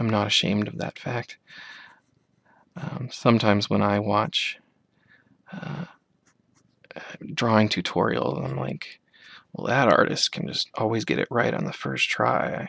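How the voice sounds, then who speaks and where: Whispering and soft-spoken, a man talks at a fairly slow pace with long, frequent pauses. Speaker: amateur artist. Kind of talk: ASMR soft-spoken drawing tutorial. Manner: soft-spoken, whispery.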